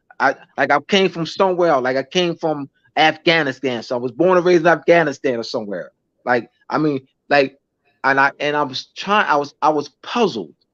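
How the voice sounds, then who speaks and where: With a dry, close sound and no echo, a man talks fairly quickly at a fairly high pitch with ordinary variation. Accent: American. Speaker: teacher and lecturer. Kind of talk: casual chat; lecture. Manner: halting, many restarts and fillers.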